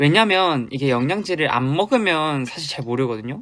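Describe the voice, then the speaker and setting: The speaker goes at a fairly slow pace with lively intonation. The recording is very clean, its background silent. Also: man. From South Korea, Busan. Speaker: K-pop idol. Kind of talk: casual fan livestream chat.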